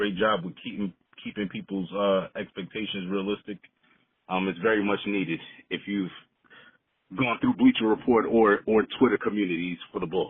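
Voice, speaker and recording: A man with a New York accent speaks with fairly even intonation and long, frequent pauses. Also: fairly low pitch for a man, moderate pace. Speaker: caller. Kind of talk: voicemail. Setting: phone voicemail.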